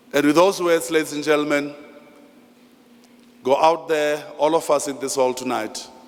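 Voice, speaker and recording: Over noticeable background noise, a man in a fairly high voice keeps fairly even intonation and leaves long, frequent pauses. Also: moderate pace. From South Africa, Free State (Thaba Nchu). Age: 60s. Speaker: master of ceremonies. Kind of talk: ceremony speech. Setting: hall with audience. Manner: formal.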